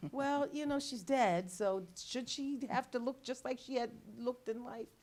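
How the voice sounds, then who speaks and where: Her pitch is high with ordinary variation as the woman speaks at a moderate pace. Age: 60s. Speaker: retired social worker. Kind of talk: casual interview chat. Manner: halting, many fillers and restarts.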